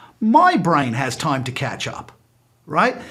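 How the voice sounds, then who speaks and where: Against audible room echo, a man speaks at a very slow pace with very wide pitch swings. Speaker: professional speaker. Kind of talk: talk to speakers association over video call. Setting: video call. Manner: pauses periodically.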